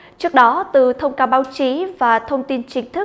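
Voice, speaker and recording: Her pitch is high for a woman, and she speaks at a moderate pace. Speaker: news anchor. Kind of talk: news reading. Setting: studio. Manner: formal.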